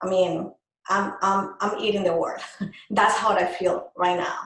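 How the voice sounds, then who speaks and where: A woman speaks with a Colombian accent. Her pitch sits in the medium range. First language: Spanish. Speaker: microblading artist, business owner. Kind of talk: interview.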